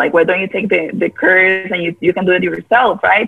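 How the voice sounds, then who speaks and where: With music playing in the background, a woman talks in a Spanish accent. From Costa Rica. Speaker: yoga teacher. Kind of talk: casual interview.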